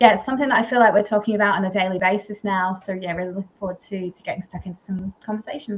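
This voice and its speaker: Her delivery is very fast, with hardly any pauses and big swings in loudness. This woman has a medium pitch and ordinary pitch variation. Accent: Australian. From Australia. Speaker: agency founder. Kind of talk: panel discussion.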